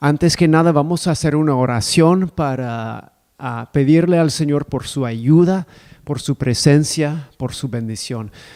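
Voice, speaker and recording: This man has a non-native accent and a dark, mellow tone. His pitch is fairly high with ordinary variation, and his pace is fairly slow. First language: not Spanish (speaking Spanish). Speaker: preacher. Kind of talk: sermon. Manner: halting.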